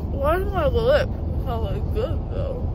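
Amid loud background noise, a woman speaks at a fairly slow pace, the sound dry with no echo. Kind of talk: casual vlog chat. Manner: slurred, dopey, gauze-muffled. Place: car. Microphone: phone near.

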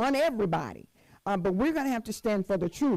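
A woman's voice, quiet background behind her. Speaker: church elder preaching. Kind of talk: sermon. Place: church. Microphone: handheld.

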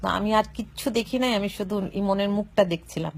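A somewhat breathy woman's voice of medium pitch with fairly even intonation. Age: old. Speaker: woman speaking about a murder case. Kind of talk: live video monologue. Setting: at home. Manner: emotional, halting.

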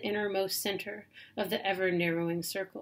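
A woman with an American accent speaks at a moderate pace over light background noise. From US South. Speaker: poet. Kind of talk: poetry reading. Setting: self-recorded video. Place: home room. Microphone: webcam.

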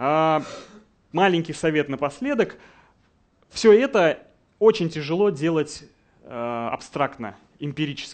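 With long, frequent pauses, a man talks at a very slow pace in a fairly high voice. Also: lively intonation. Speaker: game design director; conference speaker. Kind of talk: conference talk. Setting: stage with audience. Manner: confident, instructive. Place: hall.

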